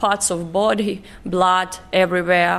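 Vocal fry marks a woman's medium-pitched voice at a fairly slow pace. The recording is very clean, with a silent background. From northeastern Ukraine. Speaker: hotel duty manager, refugee. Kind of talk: interview.

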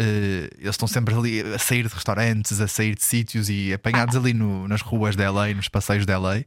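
A man with a European Portuguese accent speaks at a moderate pace in a fairly low, flat monotone. The recording is very clean, with a silent background. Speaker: podcast co-host. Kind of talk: casual chat.

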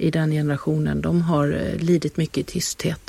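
The sound is dry and close, without echo. A woman's voice carries a dark, mellow tone. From Halland, Sweden. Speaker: author and actor. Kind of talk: interview.

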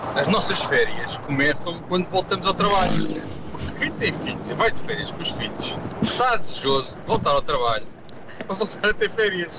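A man with a European Portuguese accent at a moderate pace, amid noticeable background noise. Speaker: radio host. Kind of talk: casual chat.

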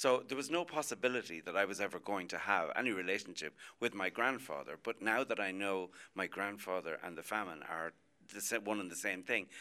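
In an Irish accent, a man talks at a fairly quick pace with a bright, sharp tone. His pitch is fairly low, with ordinary variation. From Ireland, Athy, Co. Kildare. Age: 60s. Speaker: music and TV producer. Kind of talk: radio panel discussion. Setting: outside broadcast at a hotel.

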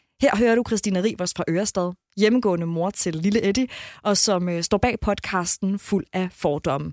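An ordinary speaking voice moves at a moderate pace. The sound is dry and close with no echo, on a very clean recording with a silent background. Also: woman. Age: 30s. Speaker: radio host. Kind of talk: podcast narration and casual chat.

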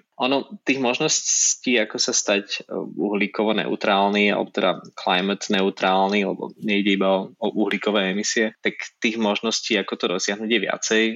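The delivery comes at a moderate pace with hardly any pauses, in an ordinary speaking voice. Intonation stays fairly even. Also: man, fairly low pitch for a man, very even loudness. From Slovakia, Nitra. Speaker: magazine publisher. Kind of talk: interview.

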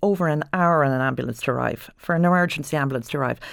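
In an Ulster accent, a woman with a very deep, low pitch and ordinary pitch variation speaks very fast on a very clean recording with a silent background. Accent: Irish (Ulster border). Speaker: doctor. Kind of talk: panel discussion. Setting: studio.

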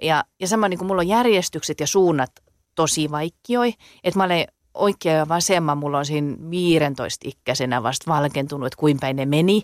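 A woman speaks in a very deep, low register at a moderate pace. The recording is very clean and dry, close with no echo and a silent background. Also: ordinary pitch variation. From southwest Finland. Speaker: dialect poet. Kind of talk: casual interview.

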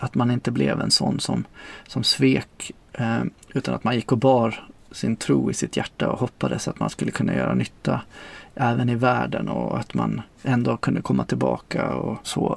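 Very wide pitch swings mark this man's very deep, low voice. He has vocal fry and a moderate pace. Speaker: former sect member. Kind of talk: testimony.

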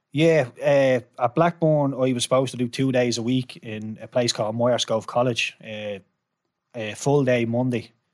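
A man speaks with a Dublin accent at a medium pitch. His pace is moderate and his intonation fairly even. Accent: Irish, Dublin. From Ireland. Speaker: former professional footballer. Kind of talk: interview storytelling.

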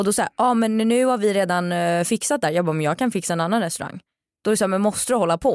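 A woman speaks very fast at a medium pitch, with ordinary pitch variation and very even loudness, in a dry, close recording that is very clean with a silent background. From Sweden. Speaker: influencer and TV presenter. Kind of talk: casual chat. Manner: talkative.

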